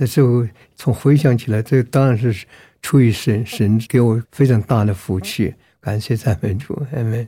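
A man speaks with a dark, mellow tone and a somewhat breathy quality. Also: medium pitch for a man, ordinary pitch variation, moderate pace. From Myanmar. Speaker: pastor. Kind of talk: testimony.

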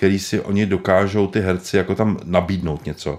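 A man with a very deep, low pitch speaks at a moderate pace with ordinary pitch variation on a very clean recording with a silent background. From Prague, Czech Republic. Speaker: screenwriter. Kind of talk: interview. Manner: halting.

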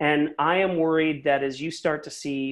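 An unremarkable speaking voice with an American accent. It moves at a moderate pace, the intonation fairly even. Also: man. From US Northeast, Philadelphia. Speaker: business founder and CEO. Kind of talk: interview.

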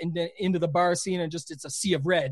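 A man's high-pitched voice at a very fast pace, with fairly even intonation. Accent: slight Canadian. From Canada. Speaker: fantasy sports player and content creator. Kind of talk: casual interview chat.

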